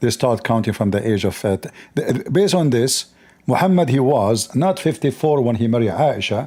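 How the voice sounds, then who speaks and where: With an Arabic accent, a man of medium pitch speaks at a moderate pace in a dark, mellow tone, his pitch swinging very widely. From Middle East. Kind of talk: online debate.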